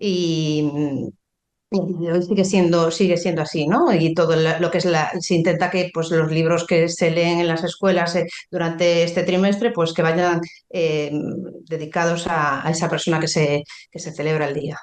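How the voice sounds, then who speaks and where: Fairly slow, monotone speech from a woman with a slight Galician accent, her pitch fairly low and her intonation flat. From Galicia, Spain. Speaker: pharmacist. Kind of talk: podcast interview. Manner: halting, many fillers.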